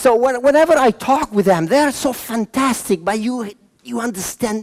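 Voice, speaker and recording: An animated man in an Italian accent, high-pitched, with lively intonation at a moderate pace. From Milan, Italy; moved to Venezuela at fifteen. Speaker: motivational speaker and trainer. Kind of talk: conference talk. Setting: conference room with live audience.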